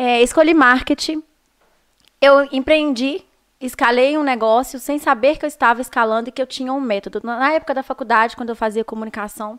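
Recorded with a dry, close sound and no echo, a woman talks at a high pitch. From Minas Gerais, Brazil (Viçosa/Teixeiras). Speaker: marketing consultant and speaker. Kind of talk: interview. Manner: fast.

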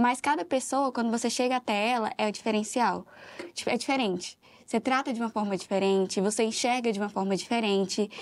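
A fairly high-pitched woman's voice on a very clean recording with a silent background. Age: 20s. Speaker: operations manager. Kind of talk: interview.

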